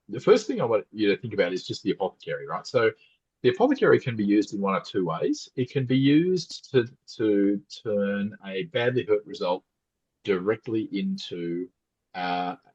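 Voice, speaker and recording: Recorded with a dry, close sound and no echo, a man talks. He has an Australian accent and a moderate pace. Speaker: podcast co-host. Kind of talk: casual chat.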